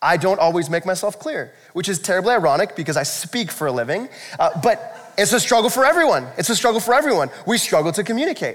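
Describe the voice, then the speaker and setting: Hardly pausing at all, a man with a high-pitched voice and an American accent speaks at a very fast pace with very wide pitch swings. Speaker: pastor. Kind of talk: sermon. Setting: church. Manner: fast talker.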